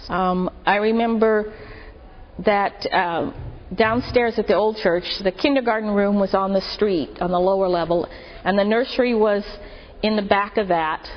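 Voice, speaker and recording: With an American accent, a woman talks at a moderate pace in an ordinary speaking voice of medium pitch, with ordinary pitch variation and very even loudness. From Marin County, California. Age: 50s. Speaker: church member. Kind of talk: testimony.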